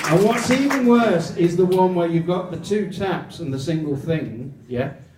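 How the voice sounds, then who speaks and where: Over noticeable background noise and audible room echo, a high-pitched man speaks with lively intonation. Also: moderate pace. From England. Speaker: comedian. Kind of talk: stand-up.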